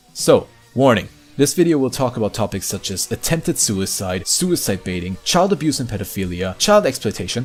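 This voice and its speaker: Very wide pitch swings at a fairly quick pace, over noticeable background noise. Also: man. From Germany. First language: German. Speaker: YouTuber, drama commentator. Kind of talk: commentary video narration. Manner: casual.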